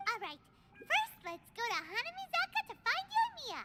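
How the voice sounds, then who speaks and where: This put-on character voice is squeaky and extremely high in pitch. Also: moderate pace. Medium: video game. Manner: lively, informal.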